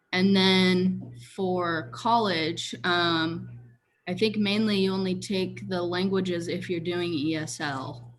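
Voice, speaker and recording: A woman with an American accent and a fairly low pitch, speaking very slowly with ordinary pitch variation, in audible room echo. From Washington State, US. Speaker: education student. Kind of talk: casual chat. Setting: video call.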